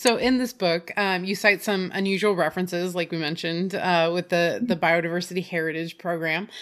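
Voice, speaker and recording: With a normal speaking voice and a fairly low pitch, a woman talks at a fairly quick pace with hardly any pauses and fairly even intonation. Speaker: podcast host. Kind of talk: casual interview.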